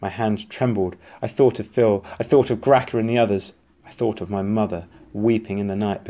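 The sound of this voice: An unforced reading voice carries the clip. Its intonation shifts only a little.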